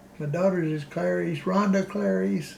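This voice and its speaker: Speaking very slowly in an American accent, a man with a fairly high pitch uses lively intonation amid audible room echo. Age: 80s+. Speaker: elderly local resident interviewed for oral history. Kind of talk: oral history interview. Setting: in his home. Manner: halting, with frequent fillers and restarts.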